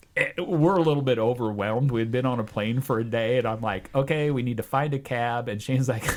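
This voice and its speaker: A man's medium-pitched voice with a Midwestern accent, at a very fast pace with hardly any pauses, over noticeable background noise. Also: ordinary pitch variation. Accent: worst Midwestern. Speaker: adventure traveler. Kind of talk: casual chat.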